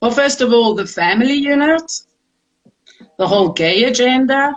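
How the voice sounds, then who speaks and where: With lively intonation, a high-pitched woman talks at a fairly slow pace, leaving long, frequent pauses. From South Africa. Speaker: round table guest. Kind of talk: casual chat.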